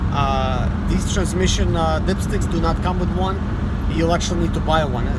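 A man at a moderate pace, dry sound with no echo, over loud background noise. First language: Russian. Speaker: mobile mechanic and YouTuber. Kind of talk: tutorial. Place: car. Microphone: phone near.

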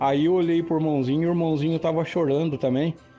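Words come at a fairly quick pace. Music sits faintly behind them. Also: man. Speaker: storyteller. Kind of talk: personal testimony narration. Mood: emotional, reverent. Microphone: studio mic.

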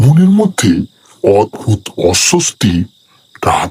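A man drawls out a put-on character voice at a very slow pace. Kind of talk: horror narration. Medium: read story. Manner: slow, atmospheric.

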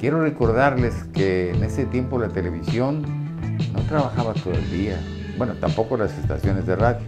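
Loud music plays in the background as a man speaks at a moderate pace. His intonation is lively. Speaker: radio announcer. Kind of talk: casual talk to camera, reminiscing. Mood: warm, nostalgic. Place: studio. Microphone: lapel.

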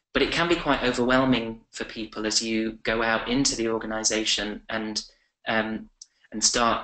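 With an English accent, a man at a medium pitch speaks at a moderate pace in a bright, sharp tone and monotone, flat intonation, with audible room echo over a quiet background. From England. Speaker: communications professional; webinar guest. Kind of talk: webinar presentation. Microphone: webcam.

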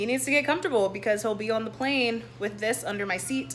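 Light background noise sits behind a woman whose intonation is lively. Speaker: vlogger. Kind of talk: casual vlog chat. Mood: cheerful, a bit flustered. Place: home room. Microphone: phone near.

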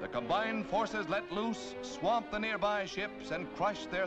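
A man speaks fairly slowly while music plays behind him. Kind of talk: 1940s newsreel narration.

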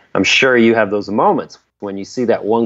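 This man talks at a moderate pace in a medium pitch, with a plain, everyday voice. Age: 50s. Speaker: indie rock guitarist. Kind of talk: casual interview chat.

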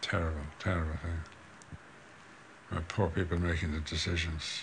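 This man's voice is very deep and low, and somewhat breathy. He talks at a moderate pace in a monotone, flat way. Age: 70s. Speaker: filmmaker. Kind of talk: interview answer.

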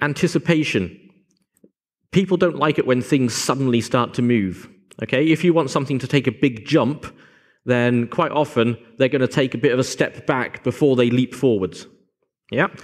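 A man talks at a moderate pace with ordinary pitch variation. His pauses are long and frequent, and the background is quiet. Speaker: conference presenter. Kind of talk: lecture. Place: hall.

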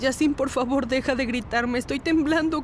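A shaky, high-pitched put-on character voice at a moderate pace, with noticeable background noise. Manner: trembling, pleading.

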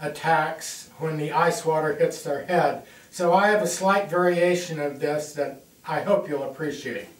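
With audible room echo, a man speaks at a fairly slow pace with fairly even intonation. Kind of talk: casual address to camera. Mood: light-hearted, joking. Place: home room. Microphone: camera far.

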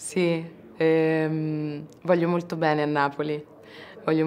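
A woman speaks with a very deep, low pitch and flat, monotone intonation. Light background noise is present. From Ostia, Rome, Italy; Italy. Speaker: actress. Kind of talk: press interview. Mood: thoughtful, calm. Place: hall.

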